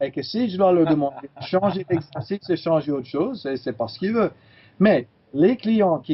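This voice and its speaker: Pitched fairly high, a man speaks with lively intonation at a moderate pace. He has a plain, everyday voice. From California, US. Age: 60s. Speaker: chiropractor. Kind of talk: interview.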